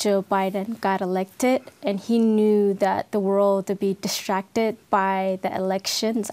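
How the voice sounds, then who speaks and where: With monotone, flat intonation, a woman talks at a medium pitch. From Ethiopia. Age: 30s. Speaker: civil war survivor sharing her story. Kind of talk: interview testimony. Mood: serious, recounting war trauma. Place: studio. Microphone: lapel.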